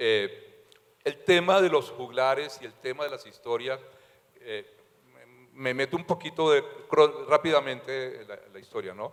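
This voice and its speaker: Pausing long and often, a man speaks at a fairly slow pace and a fairly high pitch, with ordinary pitch variation and big swings in loudness. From Colombia, Valledupar (Caribbean coast). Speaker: novelist. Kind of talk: literary talk at public event. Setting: library event with audience. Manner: halting, many fillers.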